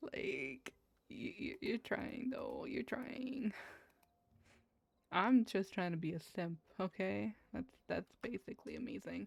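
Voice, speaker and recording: Speaking very slowly, a woman with a fairly high pitch and vocal fry makes very wide pitch swings. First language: Spanish. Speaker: gaming streamer. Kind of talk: casual gameplay commentary, reading game text aloud. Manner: stumbling over words while reading.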